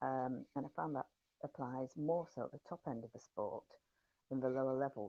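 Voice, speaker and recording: With an English accent, a woman talks at a moderate pace in a very deep, low pitch and a dark, mellow tone, recorded dry and close with no echo. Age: 60s. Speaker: horsewoman and yard manager. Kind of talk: interview answer.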